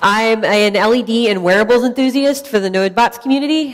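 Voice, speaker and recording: A woman with a fairly high pitch talks with lively intonation, and there is noticeable background noise. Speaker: tech conference speaker. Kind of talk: conference talk. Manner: loud.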